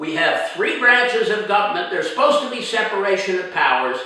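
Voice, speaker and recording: An animated man with an American accent speaks in a raised, projected voice, high in pitch with very wide pitch swings. Noticeable background noise and audible room echo fill the recording. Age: 80s+. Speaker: actor and film director. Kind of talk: political appeal to camera.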